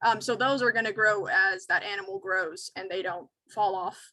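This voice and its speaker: In a normal speaking voice, a woman talks at medium pitch and a fairly slow pace with ordinary pitch variation. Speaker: wildlife educator. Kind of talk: educational webinar Q&A.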